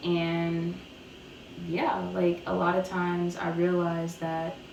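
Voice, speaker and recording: A woman with a fairly low pitch, amid noticeable background noise and audible room echo. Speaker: YouTuber sharing personal testimony. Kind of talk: testimony. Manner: casual, filler-heavy.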